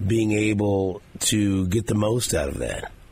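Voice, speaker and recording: A man talks in a fairly low pitch with ordinary pitch variation. His voice is somewhat breathy. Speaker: radio host. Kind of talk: sports talk radio show. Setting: studio.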